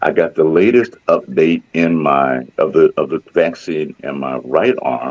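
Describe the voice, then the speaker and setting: A man speaks at a fairly slow pace, with a dry, close sound and no echo. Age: 60s. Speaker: radio host. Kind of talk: radio interview.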